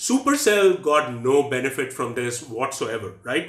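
Room echo can be heard as a man speaks at a medium speed. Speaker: educational vlogger. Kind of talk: explainer commentary. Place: home room.

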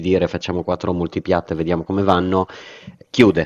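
In a dry, close sound with no echo, a man speaks with a very deep, low pitch. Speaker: podcast co-host. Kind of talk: casual chat.

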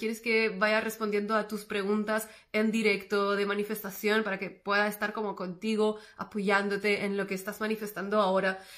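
A woman's fairly high-pitched voice at a moderate pace, flat and monotone in intonation. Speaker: manifestation coach and podcast host. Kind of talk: casual solo podcast monologue.

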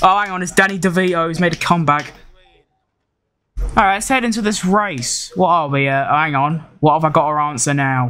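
A man speaks at a fairly quick pace in a fairly high pitch, with a bright, sharp tone and fairly even intonation.

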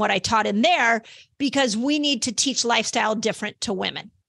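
A woman's fairly high, bright, sharp voice in a dry sound with no echo and a quiet background. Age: 50s. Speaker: health podcast host and author. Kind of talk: solo educational monologue. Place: home room. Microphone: studio mic.

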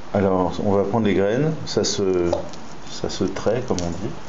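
Light background noise and audible room echo surround a man speaking at a fairly low pitch. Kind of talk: tutorial. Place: kitchen. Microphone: phone near.

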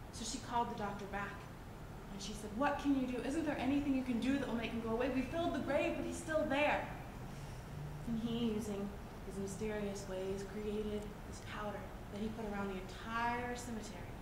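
A woman with an American accent at a fairly high pitch and fairly quick pace, ordinary pitch variation, noticeable background noise and audible room echo. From West Virginia. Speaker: storyteller. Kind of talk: folk tale storytelling. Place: stage. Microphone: camera far.

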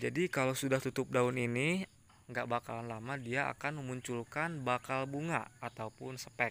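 Recorded dry with no echo, a man speaks at a moderate pace in a medium pitch. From Indonesia. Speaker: orchid seller, YouTuber. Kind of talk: sales pitch, pitchman-style promo. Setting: video, showing plants on camera. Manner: upbeat, salesy, hyping product quality. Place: garden. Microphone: phone near.

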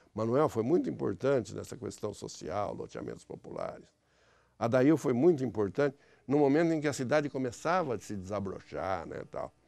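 Over a quiet background, a man with a dark, mellow tone and vocal fry talks at a moderate pace, his intonation lively and his loudness swinging widely. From interior of São Paulo state, Brazil (Mirassol / São José do Rio Preto); São Paulo state, Brazil. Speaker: former city councillor. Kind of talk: interview. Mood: reflective, reminiscing. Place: studio. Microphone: lapel.

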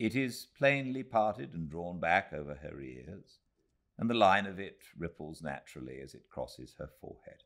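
A man with a very deep, low pitch and a warm tone uses vocal fry, his pitch swinging very widely and his loudness in big swings, over a quiet background. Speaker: actor and audiobook narrator. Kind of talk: audiobook reading of a Victorian novel, read aloud live. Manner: measured, unhurried, warm literary narration with careful, expressive pacing. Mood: calm, cozy, measured. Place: home room.

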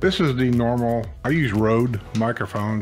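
Clear music sits in the background of the clip. Over it, a man talks at a moderate pace. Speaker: youtuber reviewing gear. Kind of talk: casual product review chat. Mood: relaxed, chatty. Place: home room. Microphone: studio mic.

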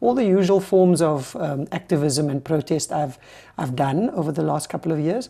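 A woman speaks at a fairly quick pace in a very deep, low pitch with ordinary pitch variation. Her tone is dark and mellow against a quiet background. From South Africa. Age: 40s. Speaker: activist, flotilla delegate. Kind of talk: interview. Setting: studio. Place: studio. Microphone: lapel.

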